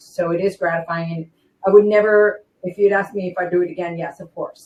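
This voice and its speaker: A woman with a plain, everyday voice, fairly low in pitch, at a fairly quick pace with fairly even intonation. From raised in Spain, army family, lives in United States. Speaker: former wrestling ring announcer and singer. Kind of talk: interview answer. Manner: emotional, heartfelt.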